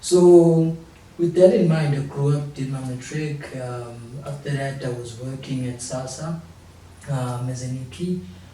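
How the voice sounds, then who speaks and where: Audible room echo and noticeable background noise surround a man speaking fairly slowly. His voice is fairly high with ordinary pitch variation and big swings in loudness. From South Africa, Durban. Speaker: young entrepreneur. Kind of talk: talk show interview.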